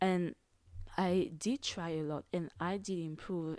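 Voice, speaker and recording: A woman with a non-native accent speaks at a fairly low pitch with fairly even intonation. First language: not English. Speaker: podcast host. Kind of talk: casual solo podcast monologue. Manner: casual, hesitant with fillers.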